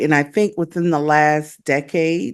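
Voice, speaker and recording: Fairly slow speech from a woman with an American accent against a quiet background. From US South. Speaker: podcast host. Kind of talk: interview. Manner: halting, many fillers.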